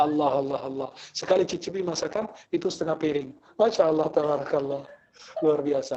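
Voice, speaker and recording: Amid noticeable background noise, a man with an Arabic accent talks at a very fast pace in an animated tone, his fairly high pitch showing ordinary variation. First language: Arabic (speaking Indonesian). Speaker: Islamic preacher. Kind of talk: religious lecture with humorous banter.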